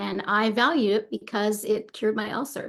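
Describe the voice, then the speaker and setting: A woman talks with vocal fry. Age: 60s. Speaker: meditation teacher. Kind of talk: casual talk before guided meditation. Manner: hesitant, many fillers.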